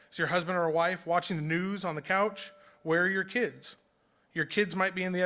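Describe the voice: Fairly even intonation in plain reading aloud.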